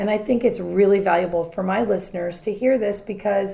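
The tone is animated and the pace fairly quick, with noticeable background noise behind the voice. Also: woman. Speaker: podcast host. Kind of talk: casual chat. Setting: kitchen table at home.

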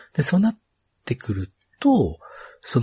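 The man's voice is somewhat breathy and jumps through very wide pitch swings. The sound is dry and close, with no echo. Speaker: podcast host. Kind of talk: casual interview.

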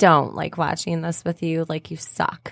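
A woman speaks at a fairly quick clip in an ordinary speaking voice, her pitch fairly low. The recording is very clean and dry, close with no echo and a silent background. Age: 30s. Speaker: podcast co-host. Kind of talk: casual chat.

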